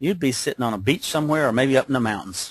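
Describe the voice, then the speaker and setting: A somewhat breathy voice against a quiet background. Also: man. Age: 60s. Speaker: business opportunity presenter. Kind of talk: webcast sales pitch. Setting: webcast call. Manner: animated.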